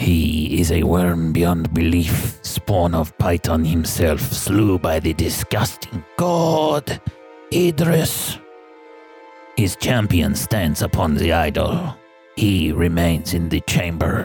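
Over faint background music, a man uses a put-on character voice with a very deep, low pitch at a very slow pace. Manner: menacing, mocking, sneering.

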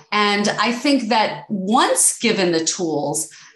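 A woman speaks at medium pitch with an American accent and lively intonation. Noticeable background noise runs underneath. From US Northeast, New York City. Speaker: podcast host, attorney and real estate investor. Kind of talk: podcast interview.

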